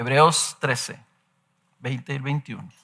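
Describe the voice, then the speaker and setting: Here a man talks in a bright, sharp tone. The recording is very clean, with a silent background. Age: 60s. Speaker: pastor. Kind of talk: sermon.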